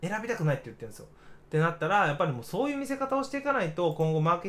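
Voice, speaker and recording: This man talks at a very fast pace with very wide pitch swings. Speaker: digital marketer, radio livestream host. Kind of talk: casual livestream radio talk. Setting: solo livestream reading chat. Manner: stumbling, many fillers.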